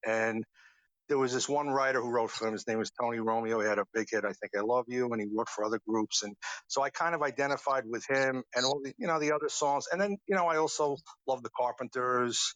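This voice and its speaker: Speaking at a very fast pace, a man has a New York accent and a medium pitch. His pitch varies an ordinary amount, and the sound is dry and close with no echo. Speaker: songwriter. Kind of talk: interview. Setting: online audio room.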